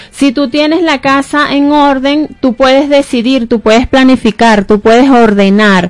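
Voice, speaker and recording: The speaker has a Venezuelan accent and a fairly slow pace. There are hardly any pauses. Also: woman, high pitch for a woman, ordinary pitch variation. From Venezuela, Barquisimeto. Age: 40s. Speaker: real estate agent. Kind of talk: radio interview. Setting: radio studio.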